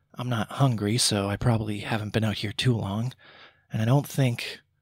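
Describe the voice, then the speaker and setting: In a raspy, put-on character voice, a man speaks at a medium pitch and moderate pace with fairly even intonation. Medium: read story. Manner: uncertain, nervous.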